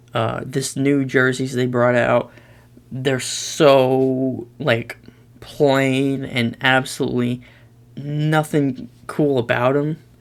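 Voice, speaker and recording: A man talks in a monotone with flat intonation. His pace is very slow. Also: medium pitch for a man. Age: young. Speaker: YouTuber, sports commentator. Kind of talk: casual commentary, tier list. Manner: loud; hesitant, many fillers.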